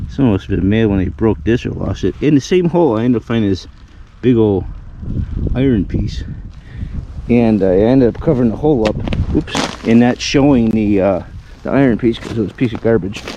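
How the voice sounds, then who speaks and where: Over noticeable background noise, a man talks at a fairly quick pace with lively intonation and long, frequent pauses. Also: medium pitch for a man. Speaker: metal detecting vlogger. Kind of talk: casual vlog narration outdoors. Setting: outdoors in snow. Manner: casual, hesitant with fillers.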